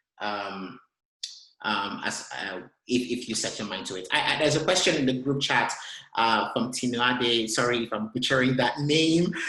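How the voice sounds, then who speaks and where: The tone is bright and sharp, with a Nigerian accent. There is audible echo from the room. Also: man, medium pitch for a man, ordinary pitch variation, moderate pace. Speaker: tech consultant. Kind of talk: webinar talk and Q&A. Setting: online webinar. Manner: halting, many repetitions and fillers.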